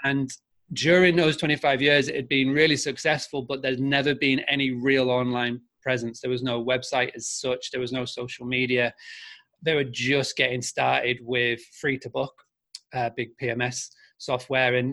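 Speaking in a Yorkshire accent, a man with a bright, sharp tone and medium pitch talks at a moderate pace in a monotone, flat intonation. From Scarborough, North Yorkshire, England. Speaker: marketing agency founder. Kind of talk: interview. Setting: video call from Spain.

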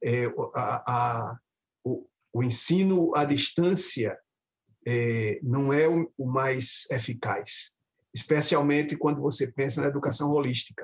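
At a very slow pace, a man speaks in a fairly high pitch, sounding somewhat breathy. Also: ordinary pitch variation. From Brazil, Recife (Pernambuco). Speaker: professor of medical education. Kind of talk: interview conversation.

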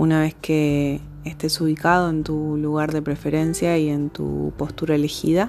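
In an Argentine accent, a woman speaks in a calm tone with very deep, low pitch and monotone, flat intonation. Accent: Argentine Spanish (voseo). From Argentina (province outside Buenos Aires). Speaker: ontological coach and mindfulness teacher. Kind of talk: casual introduction; guided meditation. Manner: slow, calm.

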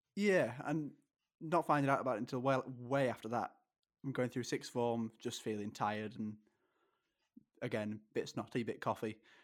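A man with an English accent speaks at a medium pitch with ordinary pitch variation. He takes long, frequent pauses in a very clean recording with a silent background. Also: moderate pace. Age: 20s. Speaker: kidney transplant patient and sports podcaster. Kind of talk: interview.

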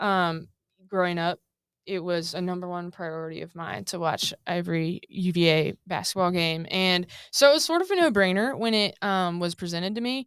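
In a very clean recording with a silent background, a woman with a normal speaking voice and a fairly low pitch talks at a moderate pace with ordinary pitch variation. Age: 20s. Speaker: former college basketball team manager. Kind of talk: interview. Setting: studio.

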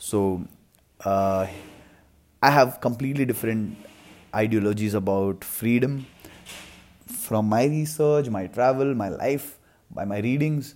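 A man with an Indian accent speaks at a medium pitch and a moderate pace, with ordinary pitch variation. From India, Mumbai. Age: 20s. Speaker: podcaster and filmmaker. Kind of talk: solo podcast monologue.

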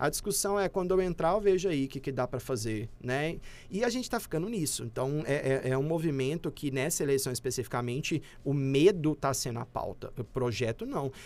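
On a very clean recording with a silent background, a man with a plain, everyday voice speaks at a fairly quick pace, fairly high in pitch, with lively intonation. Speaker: communication professor. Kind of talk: casual interview.

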